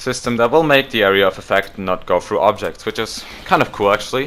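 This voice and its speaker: A man with a non-native accent and a bright, sharp tone, at a fairly quick pace with ordinary pitch variation. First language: not English. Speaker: gaming YouTuber. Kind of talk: casual commentary reading patch notes. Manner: hesitant, self-correcting.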